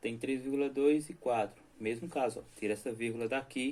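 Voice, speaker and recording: A man talks in an unremarkable speaking voice, his medium pitch held fairly even as he goes at a moderate pace. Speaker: math teacher. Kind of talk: lecture.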